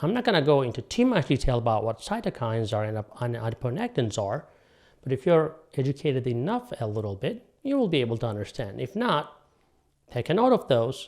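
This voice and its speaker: Lively intonation marks an ordinary speaking voice moving at a fairly quick pace. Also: man. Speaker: doctor presenting health videos. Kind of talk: health explainer monologue.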